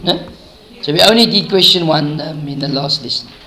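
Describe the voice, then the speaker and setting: A man with fairly high pitch talks at a moderate pace amid noticeable background noise and audible room echo. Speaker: maths teacher. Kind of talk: lesson.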